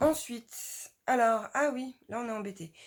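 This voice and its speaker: A woman speaks in an animated tone in a very clean recording with a silent background. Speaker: book YouTuber. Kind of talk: casual vlog talk.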